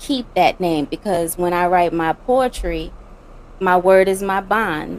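A woman speaks at medium pitch. She has a Louisiana accent. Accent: Louisiana Southern US. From Louisiana, US South. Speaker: poet and spoken word artist. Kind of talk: interview answering questions.

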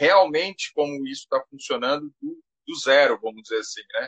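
A man speaks at a fairly slow pace. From Brazil, Goiás. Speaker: technology teacher. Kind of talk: live interview. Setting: Instagram live.

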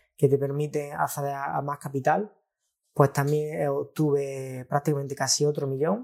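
A man's fairly high, somewhat breathy voice. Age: 20s. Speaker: trader. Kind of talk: casual chat.

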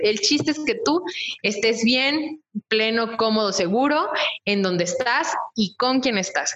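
With lively intonation, a woman in a Mexican accent speaks at a fairly high pitch. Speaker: podcast co-host. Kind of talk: casual chat.

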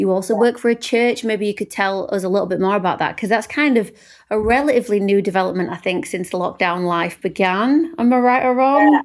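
Rattling along at a very fast pace with hardly any pauses, a woman with a British accent and fairly high pitch shows ordinary pitch variation on a very clean recording with a silent background. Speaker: podcast host, singer-songwriter. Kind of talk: casual interview chat. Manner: warm, upbeat.

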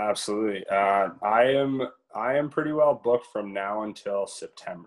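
With a Canadian accent, a man speaks at a moderate pace and medium pitch in a plain, everyday voice, his pitch varying in an ordinary way. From Ontario, Canada. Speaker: country singer. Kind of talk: interview.

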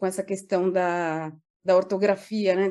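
A quiet background behind a female voice with a dark, mellow tone. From Brazil, São Paulo. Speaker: public relations professional. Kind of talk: casual interview.

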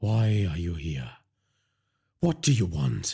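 A man's put-on character voice, low-pitched and husky with a rough edge, dark and mellow in tone, slow, with big pitch swings. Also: very clean recording, silent background.

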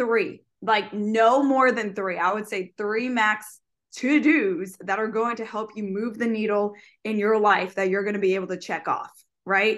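A woman talks at a moderate pace in an ordinary speaking voice, fairly high in pitch with ordinary pitch variation, over a quiet background. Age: 20s. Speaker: fitness coach and podcast co-host. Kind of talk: casual chat.

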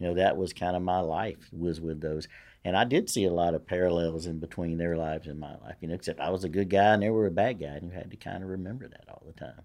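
A man with a Louisiana accent talks at a very fast pace in a very deep, low voice. His loudness swings widely against a quiet background. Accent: Louisiana Southern. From Louisiana, Shreveport. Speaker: retired police lieutenant. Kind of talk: casual chat.

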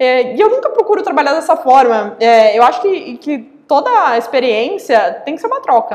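With noticeable background noise, a woman speaks at a moderate pace in a high voice that makes very wide pitch swings. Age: 20s. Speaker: real estate company CEO. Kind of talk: interview. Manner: halting, many fillers.

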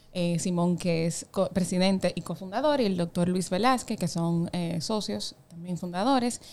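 At medium pitch and a moderate pace, a woman with an ordinary speaking voice talks with hardly any pauses and ordinary pitch variation. The recording is very clean, with a silent background. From Dominican Republic, Samaná. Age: 20s. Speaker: insurance startup executive. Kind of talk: interview conversation.

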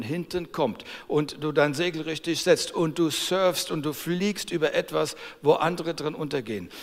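Fairly high male speech, pitch varying in an ordinary way. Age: 60s. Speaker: preacher. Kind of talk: sermon. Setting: church service. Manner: animated.

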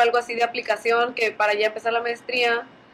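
Against noticeable background noise, a woman talks at a fairly quick pace in a high pitch. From Mexico, Allende, Nuevo León. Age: 20s. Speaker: entrepreneur and engineer. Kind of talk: casual chat.

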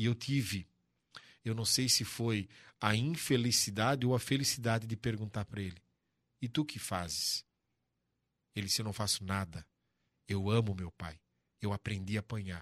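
Moderate pace and ordinary pitch variation with long, frequent pauses, on a very clean recording with a silent background. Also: man, fairly low pitch for a man. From Santa Catarina, Brazil (Brusque). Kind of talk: casual interview. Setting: studio.

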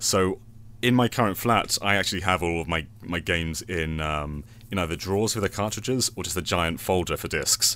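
Bright and sharp in tone, a man with a British accent speaks fairly quickly at a very deep, low pitch with ordinary pitch variation, on a very clean recording with a silent background. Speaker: podcast guest and game video creator. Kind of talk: casual chat.

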